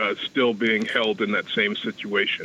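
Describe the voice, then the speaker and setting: With an ordinary speaking voice, a man talks at a moderate pace using fairly even intonation. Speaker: retired government worker, caller. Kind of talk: radio call-in. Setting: phone call.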